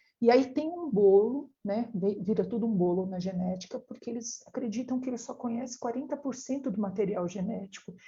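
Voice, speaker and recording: Soft-spoken and somewhat breathy, a woman talks fairly quickly at a fairly high pitch with ordinary pitch variation. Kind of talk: lecture. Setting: online live stream.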